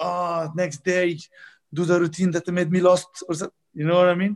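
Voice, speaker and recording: Speaking with an Arabic accent, the man has a high pitch. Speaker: squash coach. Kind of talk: interview. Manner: halting.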